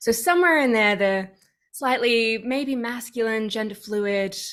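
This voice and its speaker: A woman speaks in an Australian accent at a fairly slow pace. Her fairly high pitch shows ordinary variation. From Australia, Sydney. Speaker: activist and coach. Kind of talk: casual interview chat. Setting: video call.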